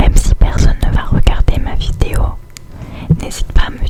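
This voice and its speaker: A woman is whispering. Noticeable background noise can be heard. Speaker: ASMR creator. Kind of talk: ASMR whisper to camera. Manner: whispered.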